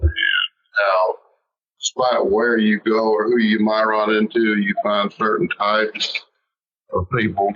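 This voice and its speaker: A man of medium pitch speaks with a Southern US accent. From US South, Alabama from teens; military bases before. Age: 60s. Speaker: novelist. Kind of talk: interview. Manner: halting, repeats words.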